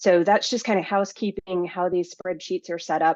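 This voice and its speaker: A woman at medium pitch and a fairly quick pace, fairly even intonation, dry, close sound with no echo. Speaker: band booster treasurer presenting budget. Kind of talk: meeting presentation. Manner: fast.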